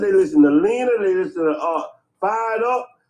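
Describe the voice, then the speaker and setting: A man talks with a high pitch. His pitch swings very widely. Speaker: livestream panel participant. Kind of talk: casual group chat. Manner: loud.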